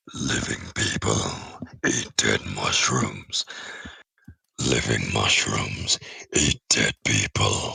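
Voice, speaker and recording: A man's put-on character voice, raspy and very deep, at a very slow pace with long, frequent pauses. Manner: commanding, eerie.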